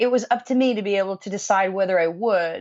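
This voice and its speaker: An ordinary speaking voice: a woman at a moderate pace, medium pitch, ordinary pitch variation. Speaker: musician. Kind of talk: interview answer.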